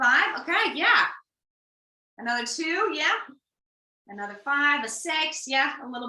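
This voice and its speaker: With an American accent, a woman speaks at a moderate pace in a raised, projected voice with a high pitch. Long, frequent pauses break up her speech, and room echo is audible. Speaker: workshop facilitator, family therapy background. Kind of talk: online workshop.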